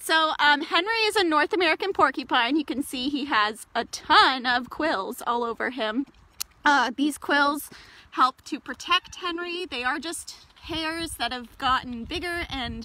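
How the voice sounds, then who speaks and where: A woman projects a raised voice with lively intonation. She goes at a fairly slow pace in a dry sound with no echo. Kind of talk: casual livestream talk and education. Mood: cheerful, friendly. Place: forest. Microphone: phone near.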